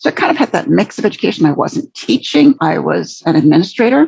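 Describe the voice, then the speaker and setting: Speaking fairly quickly, a woman talks with an American accent. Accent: sounds American. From Canada, English family. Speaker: LinkedIn trainer and career coach. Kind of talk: podcast interview.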